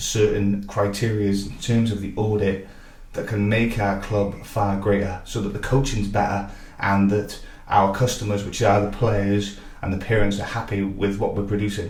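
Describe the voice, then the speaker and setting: A man speaks in a fairly low, monotone, flat voice with audible room echo and noticeable background noise. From Wales (Barry), then Northern Ireland. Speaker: football technical director and coach. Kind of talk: interview. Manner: hesitant with fillers.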